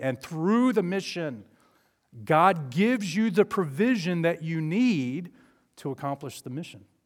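A man with an Alabama accent at a moderate pace, his fairly high pitch making very wide swings, on a very clean recording with a silent background. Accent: Southern US (Alabama). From US South, southeast and north Alabama. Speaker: guest preacher. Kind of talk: sermon. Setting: church with congregation.

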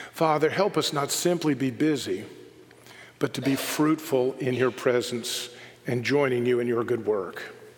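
Over noticeable background noise, a man talks at a fairly slow pace in a medium pitch. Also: ordinary pitch variation. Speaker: pastor. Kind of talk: sermon and worship leading; fervent prayer, intimate and pleading, spoken aloud to God. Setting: church. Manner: earnest, heartfelt, reverent.

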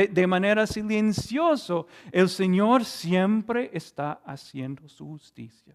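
Very wide pitch swings and a very slow pace from a man. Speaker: preacher. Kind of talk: sermon. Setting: church with Zoom stream. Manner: earnest, teacherly expository delivery; halting, repeats words and stumbles.

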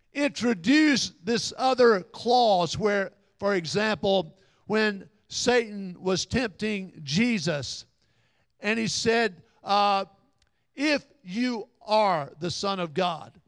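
A man with a Southern US accent speaks very slowly in a high voice with lively intonation. The recording is very clean, with a silent background. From Alabama area (Little River). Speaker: pastor. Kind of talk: sermon.

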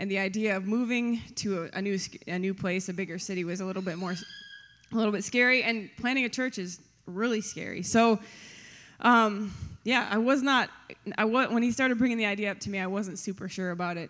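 At a fairly quick pace, the speaker uses an unremarkable speaking voice with ordinary pitch variation. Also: woman, medium pitch for a woman. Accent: American. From West Michigan, Grand Rapids area. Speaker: pastor's wife and co-lead pastor. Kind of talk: on-stage interview testimony. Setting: church stage before congregation.

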